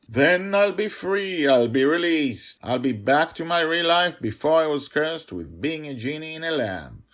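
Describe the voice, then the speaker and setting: Using a put-on character voice, a man speaks at a moderate pace with a fairly high pitch and hardly any pauses. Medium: read story.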